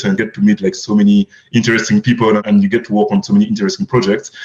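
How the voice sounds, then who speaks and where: A man speaks in a French accent. His intonation is lively. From France. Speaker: crypto fund manager. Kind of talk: podcast interview.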